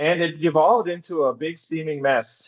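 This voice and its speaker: The speaker is a man with a fairly high pitch and a normal speaking voice. He moves at a moderate pace with ordinary pitch variation. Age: 60s. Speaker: philosophy author. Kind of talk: casual conversation.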